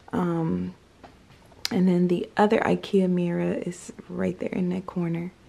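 Speaking very slowly, a woman delivers her words. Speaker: vlogger. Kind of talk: casual vlog chat. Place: home room.

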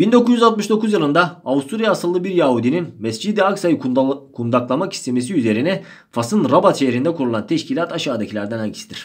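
Moving at a fairly quick pace, a man with a fairly high pitch swings very widely up and down, with vocal fry. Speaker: history teacher. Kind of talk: exam-prep lecture.

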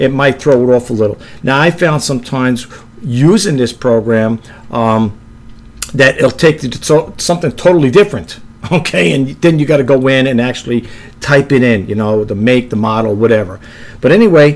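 Speaking at a moderate pace, a man shows ordinary pitch variation. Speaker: reseller demonstrating an app. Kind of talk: tutorial. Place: home room. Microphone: webcam.

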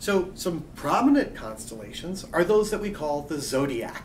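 Against light background noise, a man speaks at a high pitch with very wide pitch swings. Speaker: astronomy lecturer. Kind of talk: college lecture narration. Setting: quiet room. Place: office.

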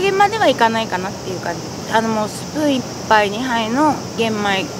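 At a moderate pace, a woman with a fairly high pitch makes very wide pitch swings, the sound dry with no echo and noticeable background noise behind her. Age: 40s. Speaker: patient interviewee. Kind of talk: testimony; interview answer. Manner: halting. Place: garden.

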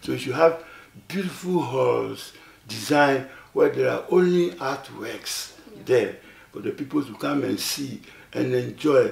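Audible room echo surrounds a man speaking with a Ghanaian accent at a fairly slow pace. He takes long, frequent pauses. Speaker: elderly artist. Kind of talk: interview, recounting memories. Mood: reflective storytelling. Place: studio.

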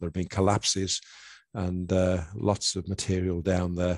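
Against a quiet background, a man with a very deep, low pitch talks in a dark, mellow tone, the sound dry with no echo. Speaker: presenter. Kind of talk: lecture.

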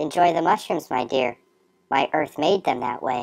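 Someone does a raspy put-on character voice at a low-to-middle pitch and a moderate pace. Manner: calm, soothing.

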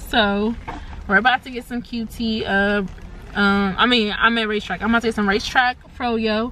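A woman at a moderate pace, dry sound with no echo, light background noise. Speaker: vlogger. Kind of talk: casual vlog chat. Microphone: phone near.

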